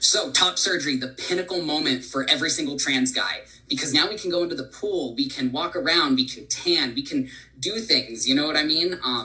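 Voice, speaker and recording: Fairly quick speech from a man with a fairly high pitch, over noticeable background noise. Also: ordinary pitch variation. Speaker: employee speaker sharing personal story. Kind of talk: presentation.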